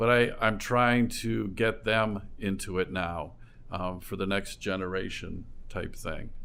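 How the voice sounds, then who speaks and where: Amid audible room echo, a man speaks at a fairly slow pace in a fairly low, bright, sharp voice, with fairly even intonation. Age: 60s. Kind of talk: interview.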